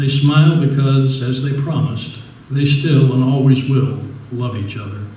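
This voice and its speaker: Audible room echo surrounds a man speaking at a moderate pace in a monotone, flat intonation. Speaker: resident reader. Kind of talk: reading an original essay aloud. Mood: wistful, gentle. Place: hall.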